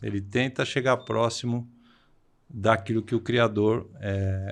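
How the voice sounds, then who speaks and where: Against a quiet background, a man with a fairly low pitch talks at a very slow pace with ordinary pitch variation. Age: 60s. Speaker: vocational education professor. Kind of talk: podcast interview. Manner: halting, frequent hesitations.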